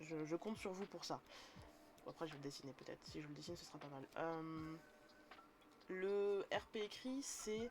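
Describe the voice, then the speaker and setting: Noticeable background noise sits behind a woman speaking at a fairly low pitch with lively intonation. She leaves long, frequent pauses. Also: moderate pace. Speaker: streamer teaching tabletop role-playing. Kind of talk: live stream tutorial. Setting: live stream. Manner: casual, hesitant.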